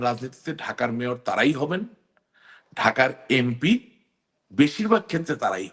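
A man with an unremarkable speaking voice and lively intonation. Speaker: politician. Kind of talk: talk show interview.

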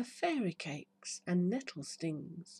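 A dark, mellow, soothing tone, somewhat breathy, with very wide pitch swings. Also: woman. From United Kingdom. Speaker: hypnotherapist. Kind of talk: poetry reading. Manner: slow, soothing. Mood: warm, soothing, upbeat. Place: garden. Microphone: phone near.

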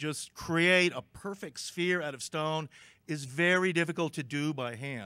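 The man talks at a fairly slow pace with a quiet background. The sound is dry, with no echo. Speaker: conference speaker. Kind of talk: lecture. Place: hall. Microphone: podium.

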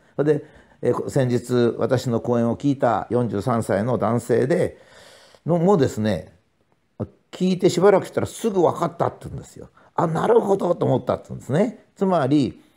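At a moderate pace, a man with a fairly high pitch and a dark, mellow tone speaks with very wide pitch swings and big swings in loudness. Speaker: professor and author. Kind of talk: monologue talk.

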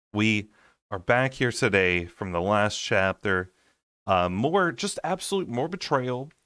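A man with a fairly low pitch speaks at a fairly slow pace in a bright, sharp tone. His intonation is lively, and the background is quiet. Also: dry sound with no echo. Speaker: audiobook reader. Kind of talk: casual chapter recap to listeners. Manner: soothing. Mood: playful mock exasperation. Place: home room. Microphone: webcam.

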